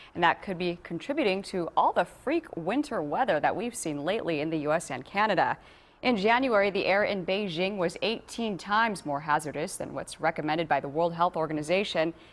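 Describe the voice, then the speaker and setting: With an American accent, a woman speaks in an ordinary speaking voice at a fairly low pitch and fairly quick pace. Her intonation is lively and she hardly pauses. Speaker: television news anchor and reporter. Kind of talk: local TV news anchor delivery.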